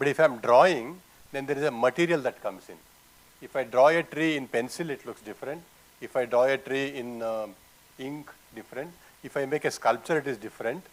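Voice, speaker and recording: A man with a Kannada accent at a medium pitch, fairly quick yet with long, frequent pauses, ordinary pitch variation and big swings in loudness. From Karnataka, South India. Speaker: artist. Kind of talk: panel conversation. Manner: halting.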